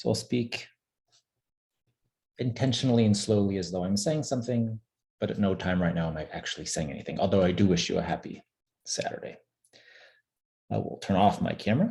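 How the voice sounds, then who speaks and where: A man at fairly low pitch, with vocal fry, a dark, mellow tone, lively intonation and a fairly quick pace broken by long, frequent pauses. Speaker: webinar presenter on stock trading. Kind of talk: webinar presentation. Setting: online webinar.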